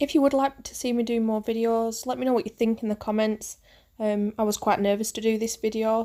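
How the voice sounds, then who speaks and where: A woman with a northern English accent, fairly high pitch, dark and mellow tone, monotone flat intonation and a fairly quick pace, on a very clean recording with a silent background. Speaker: makeup artist. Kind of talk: tutorial. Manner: hesitant, many fillers.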